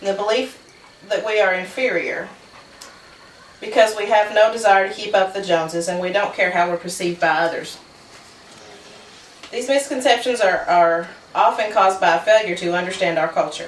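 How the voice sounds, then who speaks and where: Long, frequent pauses break up speech delivered with an Appalachian accent over noticeable background noise. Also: woman, medium pitch for a woman, ordinary pitch variation, fairly quick pace. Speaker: college student. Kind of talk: persuasive speech.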